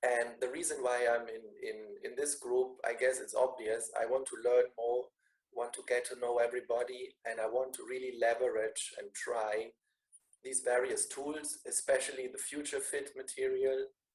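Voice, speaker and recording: The man's loudness swings widely while his speed stays moderate. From Germany, Bavaria. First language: German. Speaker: business school lecturer. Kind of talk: online meeting self-introduction. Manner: repetitive, halting.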